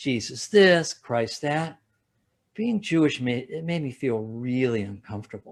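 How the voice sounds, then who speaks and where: In a very clean recording with a silent background, a man with a Midwestern American accent speaks with lively intonation. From Ohio, USA. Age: 70s. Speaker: stand-up comedian. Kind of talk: stand-up comedy routine.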